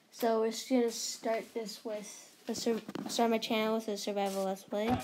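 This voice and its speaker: Over noticeable background noise, a woman speaks at a moderate pace with a fairly high pitch and monotone, flat intonation. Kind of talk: casual gaming commentary.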